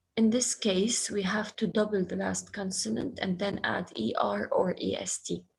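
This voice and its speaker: A woman speaks at a medium pitch. Vocal fry runs through her voice. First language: Arabic. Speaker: schoolteacher. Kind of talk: online class lesson.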